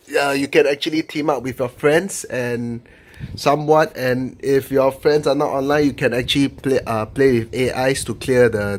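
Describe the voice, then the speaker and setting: The man's pitch is fairly high. He speaks at a fairly slow pace with fairly even intonation. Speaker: gaming YouTuber. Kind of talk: video game review monologue. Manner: halting, many fillers and restarts.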